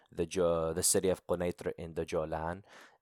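The speaker has an American accent and a moderate pace. The recording is very clean with a silent background, and the sound is dry and close with no echo. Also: man. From United States. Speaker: Circassian activist and podcaster. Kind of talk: casual interview.

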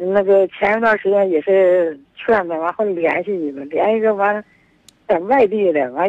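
Here a woman talks at a medium pitch and a moderate pace. Her pitch variation is ordinary. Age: 60s. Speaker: caller, mother of unmarried daughter. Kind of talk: phone-in chat. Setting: phone call. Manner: halting.

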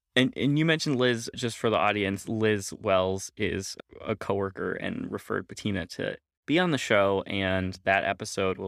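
This is an unremarkable speaking voice from a man. He has a fairly low pitch with ordinary pitch variation. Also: very clean recording, silent background. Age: 30s. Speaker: podcast host. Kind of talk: interview.

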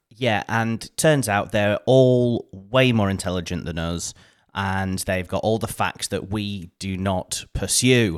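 Speaking at a very slow pace, a man with a fairly low pitch and ordinary pitch variation is heard on a very clean recording with a silent background. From northern England, Oldham. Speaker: podcast co-host. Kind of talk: casual chat.

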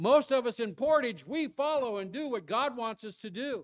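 The background is silent and the recording very clean. A man is talking. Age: old. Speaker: traveling church-planting preacher. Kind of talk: Baptist-style revival sermon expounding Jonah, with congregational call-and-response. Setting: church service. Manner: earnest, building exhortation with rhetorical questions; folksy, conversational preaching punctuated by prompts for 'amen' from the pews.

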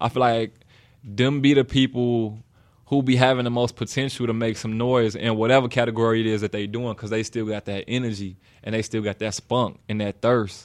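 In a Chicago accent, a man speaks at a fairly quick pace with a medium pitch and monotone, flat intonation. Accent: Southern-sounding Chicago West Side. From Chicago, West Side. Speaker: rapper. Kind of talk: casual chat.

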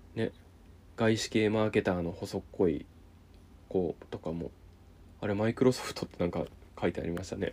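A man with a fairly low pitch and a dark, mellow tone, at a fairly quick pace. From Japan, Niigata. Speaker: solo podcast host. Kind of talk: casual solo chat reviewing a reality TV show.

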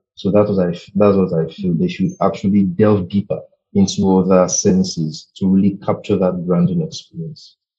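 A man with a fairly low voice and a dark, mellow tone talks at a moderate pace with ordinary pitch variation. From Nigeria. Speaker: brand designer. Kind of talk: interview conversation. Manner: halting, with many fillers.

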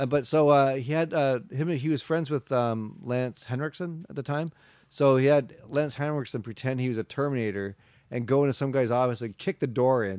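This is a man with a normal speaking voice. His pitch sits at a medium level and varies in an ordinary way. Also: moderate pace. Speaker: video store co-owner, podcast host. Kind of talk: casual chat.

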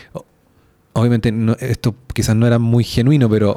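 This man's voice has a dark, mellow tone. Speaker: podcast co-host. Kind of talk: casual chat.

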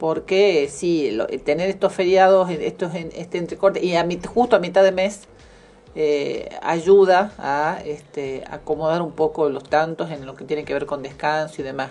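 With a dark, mellow tone and a fairly low pitch, a woman speaks in big swings of loudness. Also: ordinary pitch variation, fairly slow pace. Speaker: radio co-host. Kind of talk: casual chat.

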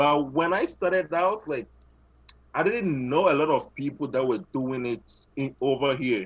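A man with a Ghanaian accent talks in a fairly high voice. His pace is fairly slow and his intonation lively. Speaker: photographer and filmmaker. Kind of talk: casual interview. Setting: video call.

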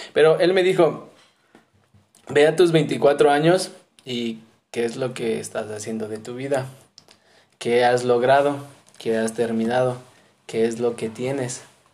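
Lively intonation comes through at a fairly slow pace, broken by long, frequent pauses, with audible room echo. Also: man. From Mexico City. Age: 20s. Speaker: missionary. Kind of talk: casual interview.

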